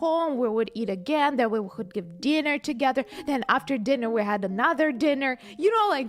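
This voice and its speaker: A woman with a non-native accent speaks at a high pitch with very wide pitch swings. She keeps a moderate pace over music in the background. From Ukraine. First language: not English. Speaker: livestreamer. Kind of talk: casual livestream chat. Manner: halting, many fillers and repeats; animated.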